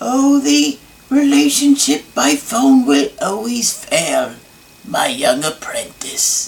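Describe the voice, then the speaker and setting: A man puts on a character voice with high pitch and very wide pitch swings. He talks at a very slow pace. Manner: sinister, menacing.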